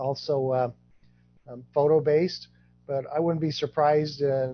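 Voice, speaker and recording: The man sounds somewhat breathy, and his intonation is monotone and flat. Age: 60s. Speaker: genealogy project founder, guest speaker. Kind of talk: presentation Q&A.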